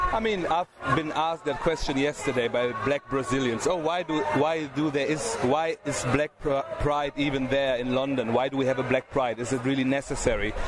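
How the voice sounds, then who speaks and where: Noticeable background noise runs under a voice of very even loudness. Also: man, fairly high pitch for a man, ordinary pitch variation, moderate pace. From Germany. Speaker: charity director. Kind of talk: interview. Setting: outdoor event, noisy.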